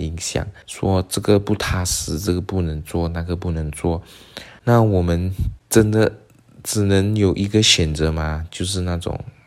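At a fairly slow pace, a man speaks in a very deep, low voice with fairly even intonation. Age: 20s. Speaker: podcast host. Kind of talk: solo podcast talk.

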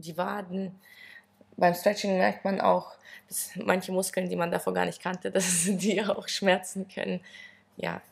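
Marked by vocal fry and big swings in loudness, the voice moves at a fairly slow pace with long, frequent pauses and a monotone, flat intonation. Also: woman, medium pitch for a woman. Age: 20s. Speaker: gymnastics and stretching coach, former national champion. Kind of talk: interview.

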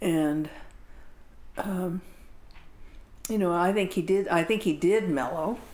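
At a very slow pace, a woman with a medium pitch and ordinary pitch variation keeps her loudness very even and leaves long, frequent pauses. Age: 70s. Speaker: Zen teacher. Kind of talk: casual chat.

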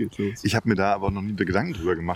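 Somewhat breathy, a man speaks very fast at a fairly low pitch. His pitch varies an ordinary amount. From Leipzig, Saxony, Germany. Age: 40s. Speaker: DJ and music producer. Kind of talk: casual chat. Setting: outdoors, walking in a park.

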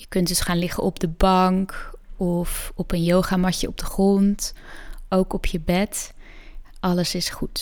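A woman's calm, soothing, medium-pitched voice, monotone and flat, at a fairly slow pace on a very clean recording with a silent background. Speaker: yoga nidra guide and podcast host. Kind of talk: guided meditation. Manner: slow, soft, soothing; calm, gentle, with long pauses.

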